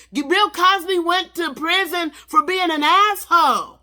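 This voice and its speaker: A raised, projected voice with a bright, sharp tone at a very slow pace, on a very clean recording with a silent background. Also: woman. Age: 60s. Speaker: vlogger, pro se litigant. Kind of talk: casual vlog monologue. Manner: animated.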